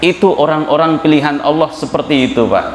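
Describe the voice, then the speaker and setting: A man with a strong Javanese accent at a moderate pace, with audible room echo and noticeable background noise. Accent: thick Javanese. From Java, Indonesia. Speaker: Islamic preacher. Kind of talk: sermon. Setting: mosque with congregation.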